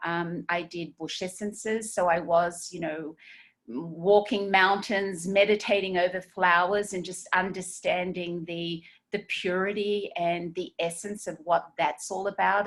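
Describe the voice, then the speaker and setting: This voice carries an Australian accent. It moves at a fairly slow pace. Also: woman. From Australia, Sydney. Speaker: esthetician and skincare trainer. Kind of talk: webinar training. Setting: video webinar. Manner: halting, many fillers.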